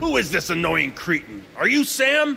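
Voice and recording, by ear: A man puts on a cartoonish character voice, pitched high and delivered at a moderate pace over clear background noise.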